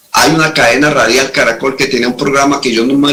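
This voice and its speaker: A man talking at a fairly quick pace, with ordinary pitch variation. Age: 60s. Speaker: retired army colonel, security analyst. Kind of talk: interview on security analysis. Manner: animated.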